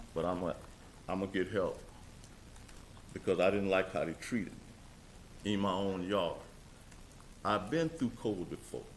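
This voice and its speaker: A man speaks at a moderate pace and fairly low pitch with ordinary pitch variation. Long, frequent pauses break his speech, and room echo is audible. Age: 60s. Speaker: resident speaking at public comment. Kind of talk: public comment at council meeting.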